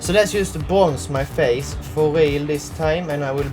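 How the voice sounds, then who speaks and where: Music plays in the background as a man speaks with a Swedish accent. His intonation is lively. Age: 20s. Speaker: beauty youtuber. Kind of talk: casual talk to camera.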